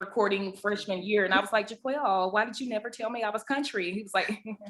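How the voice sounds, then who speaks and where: A woman races along at a very fast pace with a strong Southern US accent, her loudness swinging widely. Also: fairly even intonation. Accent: deep Southern. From US South. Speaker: podcast co-host, ICU nurse. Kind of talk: casual chat.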